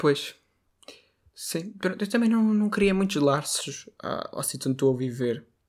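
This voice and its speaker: Pitched high for a man and swinging very widely, this voice carries a slight northern Portuguese accent on a very clean recording with a silent background. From northern Portugal, Braga. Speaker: podcast co-host. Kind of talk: casual chat. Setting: home recording in bedroom.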